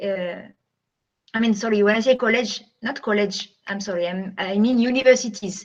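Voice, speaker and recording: Her French accent stands out as a woman speaks at a fairly high pitch with ordinary pitch variation. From France. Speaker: guest speaker, French teacher. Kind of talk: talk to students via video call. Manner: hesitant, many fillers.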